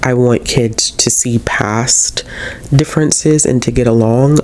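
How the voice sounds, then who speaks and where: Over noticeable background noise, a man speaks at a fairly slow pace. His pitch is medium and his intonation fairly even. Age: 30s. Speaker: book vlogger. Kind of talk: casual review monologue. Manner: hesitant, many fillers.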